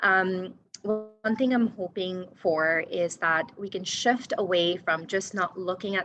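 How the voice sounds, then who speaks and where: Her bright, sharp voice sits at a medium pitch as a woman speaks with a non-native accent and fairly even intonation. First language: not English. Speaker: panelist, violence prevention worker. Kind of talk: panel discussion. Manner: hesitant, many fillers.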